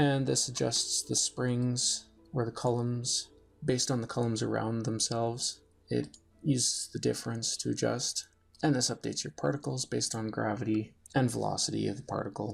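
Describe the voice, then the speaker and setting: Music plays in the background as a man talks at a moderate speed. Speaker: game programmer. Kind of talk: screen-recorded programming tutorial. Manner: casual, explanatory.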